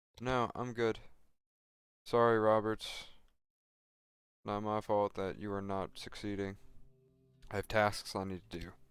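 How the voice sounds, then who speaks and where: With music in the background, a soft-spoken man talks in a monotone, flat voice at a fairly low pitch, leaving long, frequent pauses. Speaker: gaming streamer. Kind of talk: gameplay commentary.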